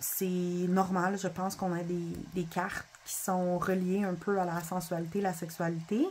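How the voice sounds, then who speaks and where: Speech in a Quebec accent comes at a very slow pace with hardly any pauses. The intonation is monotone and flat. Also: woman. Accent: Québécois French. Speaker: spiritual content creator, oracle card reader. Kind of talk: casual video review of oracle cards. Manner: halting, with self-corrections.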